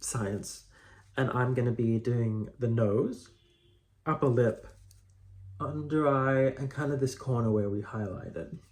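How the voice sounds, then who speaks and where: A soft-spoken man talks at a fairly slow pace, leaving long, frequent pauses. His voice is somewhat breathy and sits at a medium pitch. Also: ordinary pitch variation. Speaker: drag queen makeup creator. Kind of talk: tutorial. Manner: casual, chatty.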